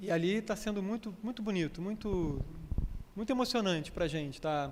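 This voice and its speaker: A man speaks with a Rio de Janeiro accent at a high pitch. Audible room echo is present. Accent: Rio de Janeiro (carioca). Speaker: spiritist lecturer and yoga teacher. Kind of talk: lecture. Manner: conversational, with frequent repetitions.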